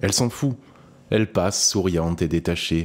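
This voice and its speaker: A man is talking. His pace is moderate. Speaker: audiobook narrator. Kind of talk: audio short story reading.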